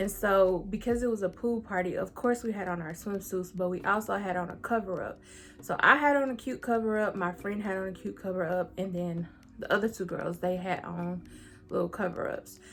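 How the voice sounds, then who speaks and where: A woman with an American accent and a normal speaking voice, medium in pitch, at a fairly quick pace with ordinary pitch variation. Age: 20s. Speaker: YouTuber. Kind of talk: storytelling. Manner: casual.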